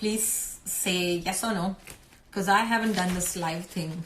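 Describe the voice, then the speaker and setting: Over noticeable background noise and audible room echo, a woman talks at a very slow pace in a medium pitch with fairly even intonation. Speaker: homeschooling mother and blogger. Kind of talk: live stream talk. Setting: live video stream. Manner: hesitant, many fillers.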